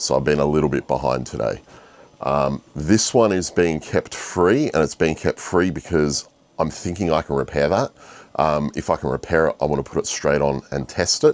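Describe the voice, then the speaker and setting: A man's very deep, low voice with vocal fry, ordinary pitch variation and a moderate pace. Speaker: 3D printing vlogger. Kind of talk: casual vlog.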